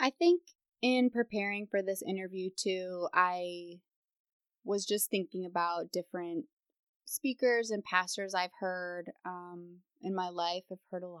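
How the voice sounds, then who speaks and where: A woman with a medium pitch is heard in a dry, close sound with no echo on a very clean recording with a silent background. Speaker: speech language pathologist. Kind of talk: interview. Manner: hesitant, many fillers.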